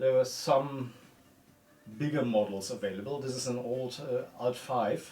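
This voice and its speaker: A man with a German accent at a medium pitch and a fairly slow pace, with ordinary pitch variation and noticeable background noise. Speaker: mount repair technician. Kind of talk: casual interview in workshop. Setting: workshop.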